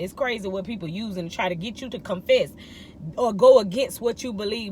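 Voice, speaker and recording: A woman talks at a fairly high pitch, her pitch varying in an ordinary way, while noticeable background noise carries on behind her. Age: 30s. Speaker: vlogger. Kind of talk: inspirational monologue. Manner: animated.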